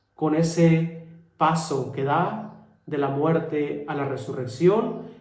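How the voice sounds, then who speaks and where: A man talks at a fairly high pitch, and audible room echo follows his words. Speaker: friar preacher. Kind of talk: homily.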